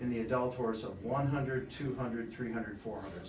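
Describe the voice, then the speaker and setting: A man is speaking. There is audible room echo and light background noise. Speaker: presenter. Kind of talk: lecture. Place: home room. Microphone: camera far.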